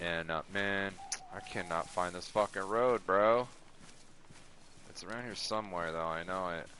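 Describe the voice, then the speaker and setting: A man speaks quietly with a very deep, low pitch and ordinary pitch variation. His loudness swings widely, and he takes long, frequent pauses. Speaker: gaming streamer. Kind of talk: casual live-stream chat and storytelling. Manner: quiet, low-key; casual, hesitant with fillers.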